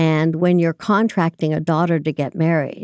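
The voice has a dark, mellow tone and an American accent. The recording is very clean with a silent background, and the sound is dry and close with no echo. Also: woman. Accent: learned American. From Hong Kong and France. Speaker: healthcare consulting executive. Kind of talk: interview.

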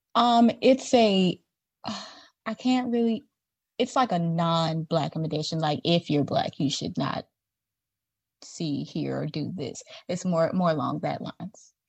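Against a quiet background, a woman with a fairly low, somewhat breathy voice speaks at a fairly slow pace with lively intonation. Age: 20s. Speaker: entertainment writer. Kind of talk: casual debate. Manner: animated.

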